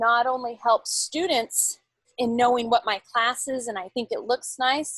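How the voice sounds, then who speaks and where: A plain, everyday voice from a woman, fairly high in pitch and fairly slow, dry and close with no echo. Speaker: college teacher and Canvas mentor. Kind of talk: tutorial. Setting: video call from home bedroom.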